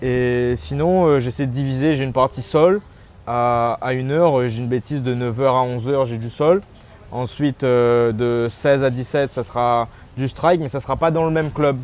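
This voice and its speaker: A man talks at a moderate pace and a medium pitch. His pitch varies in an ordinary way. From Réunion. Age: 20s. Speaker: MMA fighter. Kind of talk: interview. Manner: halting, many repetitions.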